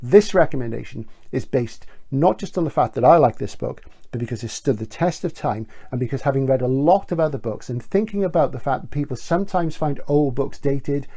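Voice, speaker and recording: The voice is somewhat breathy, with a dark, mellow tone and a British accent. It moves at a fairly quick pace with lively intonation. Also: man, fairly high pitch for a man. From Britain. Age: 60s. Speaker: bookseller. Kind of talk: book recommendation video.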